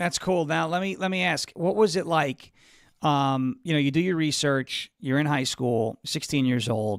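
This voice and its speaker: Here a man with an American accent uses an ordinary speaking voice, moderately paced. His intonation is lively, and the recording is very clean with a silent background. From US Northeast (Long Island, New York). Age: 30s. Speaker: political talk show host. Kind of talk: live interview.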